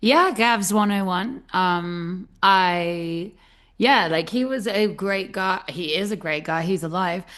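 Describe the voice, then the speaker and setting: A woman with a British accent speaks at a very slow pace. Her pitch is medium, with ordinary variation. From Britain. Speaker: podcast host. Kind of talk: casual interview chat.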